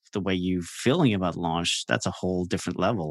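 Speaking at a moderate pace in a Norwegian accent, a man has a very deep, low pitch and fairly even intonation. The sound is dry and close with no echo, against a quiet background. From Norway. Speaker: launch strategist and podcaster. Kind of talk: casual interview.

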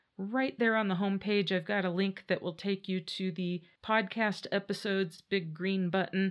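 A woman has an ordinary speaking voice at a medium pitch. She talks with hardly any pauses against a quiet background. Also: fairly even intonation, moderate pace. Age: 50s. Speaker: podcast host. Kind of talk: casual solo monologue. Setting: home podcast studio.

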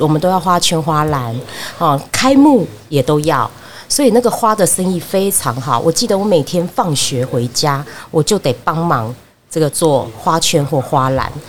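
A woman speaks with a very deep, low pitch and very wide pitch swings, at a fairly slow pace. Noticeable background noise is present. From Taiwan, Fengshan, Kaohsiung. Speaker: market vendor's daughter sharing childhood memories. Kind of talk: casual interview.

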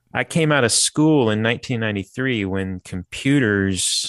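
At a moderate pace and medium pitch, a man uses an unremarkable speaking voice with lively intonation, the sound dry and close with no echo. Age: 50s. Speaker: furniture designer and marketplace founder. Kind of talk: interview.

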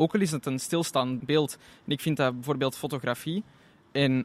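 Here a man has an unremarkable speaking voice, fairly high in pitch, at a moderate pace. The sound is dry and close with no echo, in a very clean recording with a silent background. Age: 20s. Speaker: tourism student intern. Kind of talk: interview.

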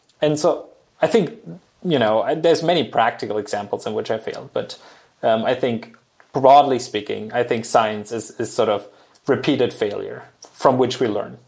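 A man talks at a moderate pace in a German accent. His medium pitch shows ordinary pitch variation. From Germany. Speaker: engineering professor. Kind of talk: casual interview.

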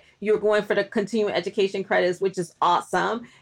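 Noticeable background noise runs through the clip. A woman speaks at a fairly high pitch. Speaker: podcast host, academic. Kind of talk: interview. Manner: fast.

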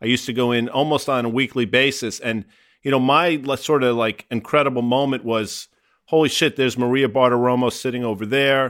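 A man's medium-pitched, normal speaking voice at a fairly quick pace, with fairly even intonation. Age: 50s. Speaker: finance podcast host. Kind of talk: casual chat.

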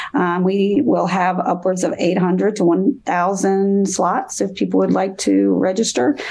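A woman speaking with hardly any pauses, against noticeable background noise. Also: medium pitch for a woman, ordinary pitch variation, fairly slow pace, very even loudness. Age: 50s. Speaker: professor and bullying researcher. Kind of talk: interview.

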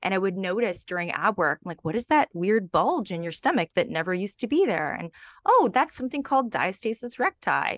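Over a quiet background with a dry, close sound and no echo, a woman of medium pitch talks in a normal speaking voice, with lively intonation at a fairly quick pace. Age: 40s. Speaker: Pilates and pelvic health trainer. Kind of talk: casual interview.

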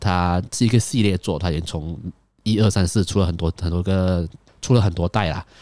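A man speaks with a very deep, low pitch and a dark, mellow tone. The recording is very clean, with a silent background. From Malaysia. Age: 20s. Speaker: podcast host. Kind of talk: casual solo monologue.

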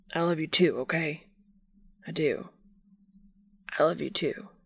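A raspy, put-on character voice sits at a middle pitch. It moves at a moderate pace. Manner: tearful.

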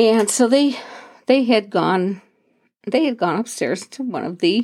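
A woman speaks at medium pitch and a moderate pace. Her intonation is lively. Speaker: podcast host. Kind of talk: storytelling, casual anecdote. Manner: chatty, laughing, rambling; warm, animated.

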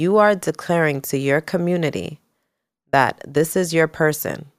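In an American accent, a woman with a very deep, low pitch talks at a fairly slow pace with ordinary pitch variation on a very clean recording with a silent background. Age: 30s. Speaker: salon owner and entrepreneur. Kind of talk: casual chat.

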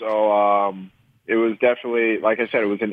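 An ordinary speaking voice with a Canadian accent, at a moderate pace and with fairly even intonation. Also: man. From Canada. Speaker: professional soccer player. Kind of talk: interview. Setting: phone call.

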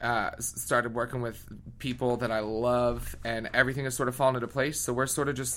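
A man talks at a fairly quick pace with vocal fry. He has an American accent. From Philadelphia area, Pennsylvania, US. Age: 20s. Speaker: singer. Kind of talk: interview. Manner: animated.

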